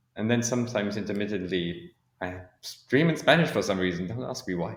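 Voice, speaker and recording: This is a man with an ordinary speaking voice. His pitch is fairly low. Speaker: podcast guest, neurodiversity advocate. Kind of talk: interview conversation.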